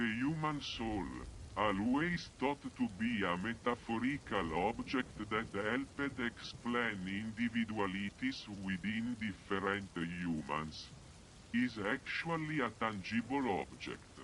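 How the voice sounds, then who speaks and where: A man's booming, put-on character voice at medium pitch, solemn in tone, with lively intonation and a fairly slow pace over clear background noise. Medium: read story. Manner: solemn, ceremonial.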